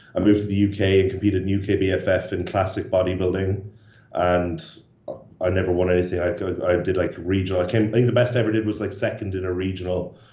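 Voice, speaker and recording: With audible room echo, a man talks at a very fast pace in a very deep, low voice that is somewhat breathy and flat, monotone in intonation. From Ireland, Cork. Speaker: bodybuilder. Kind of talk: interview. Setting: video call.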